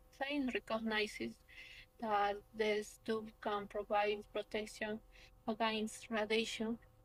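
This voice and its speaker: A woman with a Peruvian accent, fairly high in pitch and at a fairly slow pace. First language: Spanish. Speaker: young researcher, architect. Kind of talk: conference presentation. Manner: halting.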